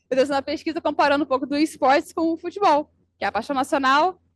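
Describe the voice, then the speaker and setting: Against a quiet background, a woman with a Rio de Janeiro accent talks at a high pitch with ordinary pitch variation. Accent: Rio de Janeiro (carioca), hissing s. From Brazil, Rio de Janeiro. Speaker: advertising professional, conference speaker. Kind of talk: conference talk.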